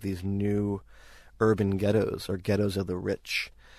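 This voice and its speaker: A man speaks in a New York accent with flat, monotone intonation. The background is quiet. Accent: New York American. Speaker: architecture academic. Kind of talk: interview.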